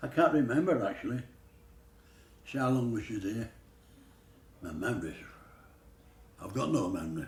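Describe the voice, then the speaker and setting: With a Yorkshire accent, a man with a medium pitch and a somewhat breathy voice speaks at a fairly quick pace, using very wide pitch swings and long, frequent pauses. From Yorkshire, England. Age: 80s+. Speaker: pastry chef. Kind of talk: interview answer.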